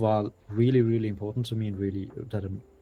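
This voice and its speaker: Monotone, flat intonation from a man pitched fairly low. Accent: German. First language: German. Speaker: indie game developer. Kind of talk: interview.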